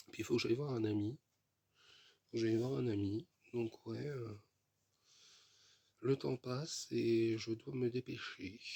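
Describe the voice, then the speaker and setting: The voice has a dark, mellow tone, somewhat breathy, with long, frequent pauses and a dry, close sound with no echo. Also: man, medium pitch for a man, ordinary pitch variation, fairly slow pace. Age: 30s. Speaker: vlogger. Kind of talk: casual vlog monologue. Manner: repetitive, hesitant with fillers.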